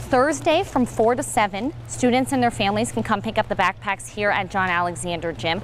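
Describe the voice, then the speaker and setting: Amid noticeable background noise, a woman speaks with hardly any pauses and very wide pitch swings. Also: medium pitch for a woman, fairly quick pace, very even loudness. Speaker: sports broadcaster, reporter. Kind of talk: on-location local news stand-up to camera.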